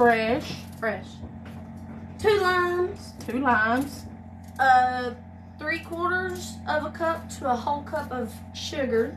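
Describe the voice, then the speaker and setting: Noticeable background noise sits behind a woman's voice. She speaks at a very slow pace with a high pitch. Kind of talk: casual cooking tutorial. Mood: relaxed, laughing. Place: kitchen.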